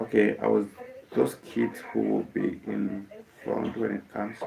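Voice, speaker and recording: A man with a Kenyan accent at a fairly slow pace, amid noticeable background noise. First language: Kikuyu. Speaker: musician. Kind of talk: casual live stream talk. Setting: live stream. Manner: halting, many fillers.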